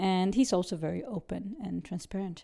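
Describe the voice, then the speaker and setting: This woman has a medium pitch, a dark, mellow tone and vocal fry, and she talks at a moderate pace. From Sweden. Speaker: businesswoman. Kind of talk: interview. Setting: home apartment.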